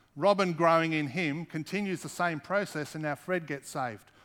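A man with an Australian accent speaks at a fairly high pitch for a man with ordinary pitch variation, on a very clean recording with a silent background. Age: 40s. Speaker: pastor. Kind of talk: sermon.

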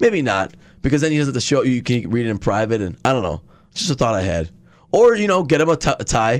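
A man with an American accent talks very fast at a medium pitch, his voice swinging very widely up and down, on a very clean recording with a silent background. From Milwaukee area, Wisconsin. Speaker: sports podcast co-host. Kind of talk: casual chat.

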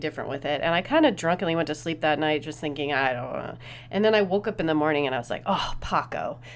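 Talking very fast with hardly any pauses, a woman uses an animated tone and a very deep, low pitch with vocal fry. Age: 40s. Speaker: podcast host and interviewer. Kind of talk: casual monologue. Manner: animated, frequent laughing; rambling with filler words.

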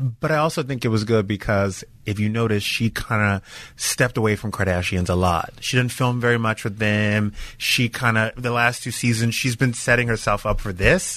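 Against a quiet background, a man with an American accent speaks at a moderate pace in a medium-pitched voice with a bright, sharp tone and ordinary pitch variation. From US South, Louisiana. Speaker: entertainment TV host. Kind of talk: casual chat. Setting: studio.

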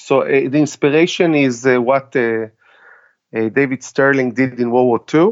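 The speech has long, frequent pauses, very even loudness and ordinary pitch variation. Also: man, medium pitch for a man. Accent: Israeli. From Israel. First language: Hebrew. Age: 40s. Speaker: army veteran and tactical trainer. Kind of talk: interview. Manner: halting.

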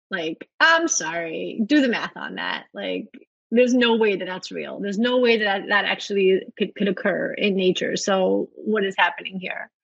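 With a New York accent, a woman talks at a moderate pace. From New York (Brooklyn), born in Soviet Russia. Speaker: writer. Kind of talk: casual interview. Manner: animated.

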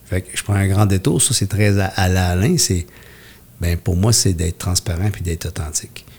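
At a moderate pace, a man with a very deep, low pitch talks with fairly even intonation and a somewhat breathy sound. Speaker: community worker for men's services. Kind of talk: interview.

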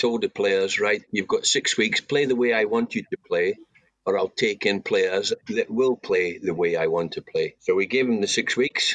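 The sound is dry and close, with no echo. A man speaks at a moderate pace with a Scottish accent. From Scotland, Banff in Aberdeenshire. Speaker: former footballer. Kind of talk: interview.

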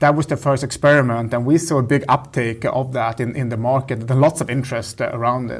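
A man speaks with a Swedish accent in a medium pitch. His pace is fairly quick and his intonation monotone and flat. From northern Sweden. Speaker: tech product executive. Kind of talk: interview. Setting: office. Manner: halting.

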